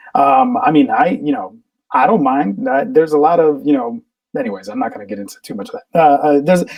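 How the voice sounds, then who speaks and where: Speaking fairly quickly with a Spanish accent, a man uses a high pitch and very wide pitch swings. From Riverside, California (born in Colombia, moved at 3). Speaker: actor. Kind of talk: casual chat.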